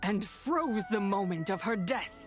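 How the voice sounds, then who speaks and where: A put-on character voice over clear background music. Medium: video game. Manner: archaic, grandiose, scornful.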